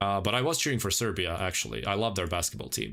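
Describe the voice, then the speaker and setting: On a very clean recording with a silent background, a man with a Croatian accent speaks with vocal fry. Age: 20s. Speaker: gaming streamer. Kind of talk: casual chat. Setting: livestream.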